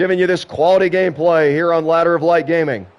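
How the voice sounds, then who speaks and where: A man speaks at a high pitch and a moderate pace. Noticeable background noise runs underneath. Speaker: gaming streamer doing play-by-play commentary. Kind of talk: live commentary. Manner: animated.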